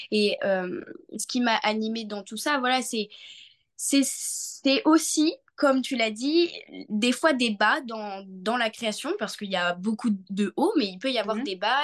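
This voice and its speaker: A woman speaks at a very slow pace with fairly high pitch and lively intonation against a quiet background. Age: 20s. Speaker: young entrepreneur and association volunteer. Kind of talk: interview.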